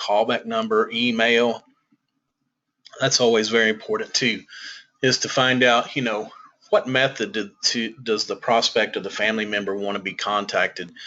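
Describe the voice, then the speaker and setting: A man speaks in a Southern US accent at medium pitch. His intonation is monotone and flat, and his pace is moderate. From US South. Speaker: senior living consultant. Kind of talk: webinar presentation.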